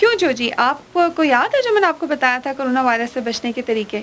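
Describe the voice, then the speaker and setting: Her intonation is lively. The woman speaks at a high pitch. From Pakistan. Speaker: voice over artist. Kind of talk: children's awareness message.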